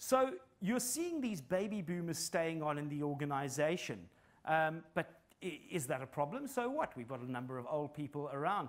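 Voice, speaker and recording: A man speaks with a South African accent. His fairly high voice has lively intonation. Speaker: psychologist and business consultant. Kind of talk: conference talk.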